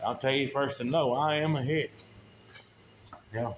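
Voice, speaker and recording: Over noticeable background noise, a man speaks with a Southern US accent. His pitch is fairly high and his intonation fairly even. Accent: country Southern drawl, says he talks funny. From southern Oklahoma. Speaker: mechanic. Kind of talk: casual how-to vlog. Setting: outdoors. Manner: casual, folksy.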